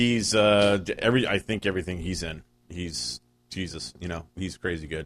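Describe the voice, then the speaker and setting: Using a very deep, low pitch and vocal fry, a man speaks at a moderate pace with lively intonation. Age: 40s. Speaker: podcast guest. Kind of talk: casual chat.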